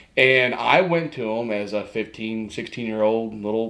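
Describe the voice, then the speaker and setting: Amid audible room echo, a man talks at a moderate pace with a medium pitch and ordinary pitch variation. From Kentucky, Winchester area. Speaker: sports information director. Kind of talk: podcast interview.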